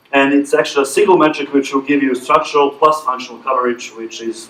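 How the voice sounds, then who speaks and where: A man talking very fast at a medium pitch. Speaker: conference presenter, verification engineer. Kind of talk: technical presentation with Q&A.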